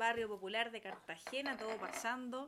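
A woman with a Chilean accent speaks at a fairly high pitch in a bright, sharp tone, on a very clean recording with a silent background. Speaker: podcast co-host. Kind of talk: casual chat.

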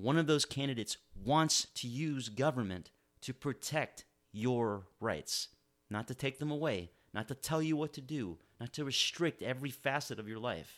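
On a very clean recording with a silent background, a man with an American accent and an ordinary speaking voice talks at a moderate pace, with a medium pitch and lively intonation. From Miami, Florida. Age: 40s. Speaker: political podcast host and lawyer. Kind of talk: political commentary monologue.

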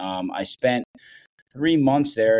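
At a moderate pace, a man with a Midwestern accent and a dark, mellow tone speaks in a very clean recording with a silent background. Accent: General American (Midwest). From Ohio, US Midwest. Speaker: professional soccer head coach. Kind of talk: casual interview chat.

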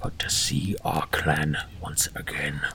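A man whispers in a put-on character voice. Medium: actual play. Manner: short, clipped.

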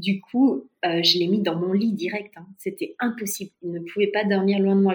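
This woman's voice is somewhat breathy, with a medium pitch. She keeps a moderate pace and fairly even intonation. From France. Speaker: expat mother. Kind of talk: testimony.

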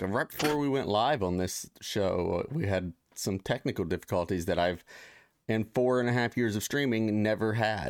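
In an unremarkable speaking voice with an American accent, a man talks at a moderate pace with fairly low pitch, ordinary pitch variation and very even loudness. The recording is very clean, with a silent background. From Ohio, US Midwest. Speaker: podcast host. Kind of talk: casual chat. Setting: studio, live stream.

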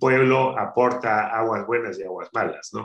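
A man's medium-pitched voice at a fairly slow pace. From Peru, Áncash highlands (Caraz, Callejón de Huaylas). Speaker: spirits entrepreneur. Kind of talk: interview. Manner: halting, many fillers.

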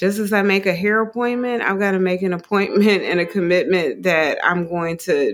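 An unremarkable speaking voice with an American accent, ordinary pitch variation and a moderate pace. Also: woman. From US Midwest. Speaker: yoga teacher. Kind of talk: interview.

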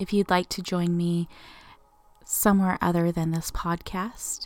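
A woman's medium-pitched voice, monotone and flat, with a gentle, soothing tone at a fairly slow pace, music in the background. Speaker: yoga instructor. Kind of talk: guided meditation. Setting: solo podcast recording. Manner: slow, soothing, calm; gentle, unhurried, with long pauses.

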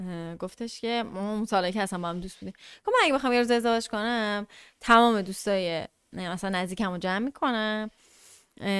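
A woman with an unremarkable speaking voice, medium in pitch, at a fairly quick pace with ordinary pitch variation. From Iran, Tehran. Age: 20s. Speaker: podcast guest. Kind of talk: casual chat.

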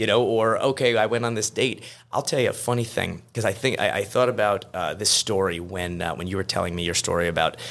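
In a very clean recording with a silent background, a man talks at a fairly quick pace in a plain, everyday voice. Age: 40s. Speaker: attorney. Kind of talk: casual chat. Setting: studio.

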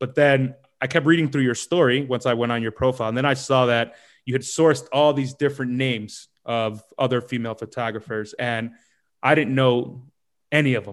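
A man with an American accent, an ordinary speaking voice, medium pitch, fairly even intonation and a fairly quick pace. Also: quiet background. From US, New York City. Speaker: podcast host. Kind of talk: casual interview.

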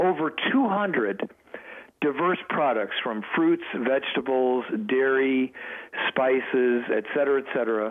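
Fairly slow talking from a man at medium pitch, ordinary in pitch variation, with noticeable background noise. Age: 70s. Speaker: food company representative. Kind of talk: promotional interview. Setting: phone call.

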